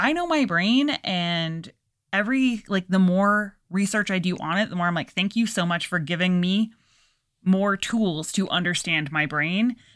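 In a very clean recording with a silent background, a woman of medium pitch talks at a moderate pace with ordinary pitch variation in an unremarkable speaking voice. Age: 30s. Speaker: tattoo artist. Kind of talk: casual chat. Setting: home studio.

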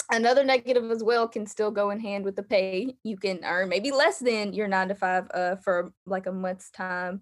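A woman speaks with an Alabama accent at a moderate pace, barely pausing. Her pitch varies in an ordinary way. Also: medium pitch for a woman. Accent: Southern US (Alabama). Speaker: content creator, fashion influencer. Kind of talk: casual interview.

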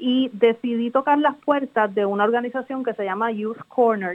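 A woman with a plain, everyday voice speaks in a fairly high pitch with ordinary pitch variation. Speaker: university professor and senate candidate. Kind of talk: radio interview.

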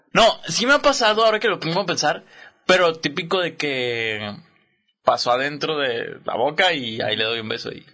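A man with a Mexican accent speaks at a fairly high pitch in a bright, sharp tone. His pitch swings very widely at a moderate pace. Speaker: podcast co-host. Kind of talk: casual chat.

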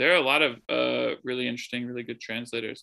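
The speaker is a man. He talks with a US Midwestern accent. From US Midwest (Chicago suburbs, Wisconsin). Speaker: literary translator and writer. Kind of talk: casual interview. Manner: halting, many fillers.

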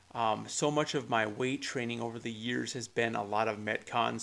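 At a moderate pace, a man talks in a medium pitch. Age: 30s. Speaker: podcast host and fitness trainer. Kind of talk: solo monologue podcast. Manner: animated.

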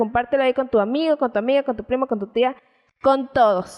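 With music in the background, a woman with a high voice is heard in a dry, close recording with no echo. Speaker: podcast host. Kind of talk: casual interview. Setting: studio. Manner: animated.

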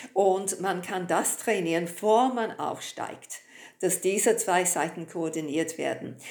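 Speaking very slowly in a British accent, a woman uses a medium pitch with ordinary variation. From Britain. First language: English (speaking German). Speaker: horse trainer and behaviour researcher. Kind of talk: podcast interview, explanatory. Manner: hesitant non-native German.

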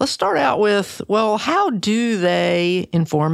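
A woman speaks at a fairly slow pace. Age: 60s. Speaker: podcast host, physician. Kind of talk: interview.

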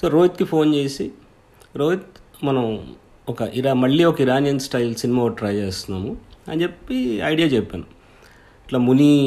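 Fairly high in pitch, a man's voice has a dark, mellow tone and lively intonation. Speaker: independent filmmaker and podcaster. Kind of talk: casual solo monologue. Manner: halting, searching for words; shaky voice.

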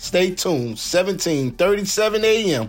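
Over music in the background, a man speaks at a high pitch. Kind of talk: radio newsreading with station promo and ad reads. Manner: polished, brisk, crisp broadcast delivery.

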